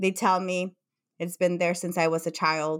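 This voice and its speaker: Someone with a Mexican accent is heard in a very clean recording against a silent background. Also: woman. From Mexico. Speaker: psychotherapist. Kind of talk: interview.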